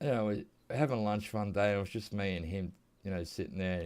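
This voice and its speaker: A man with an Australian accent talks at a fairly quick pace and fairly low pitch. The recording is very clean, with a silent background. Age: 50s. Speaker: gaming youtuber. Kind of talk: casual gameplay commentary. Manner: casual, meandering.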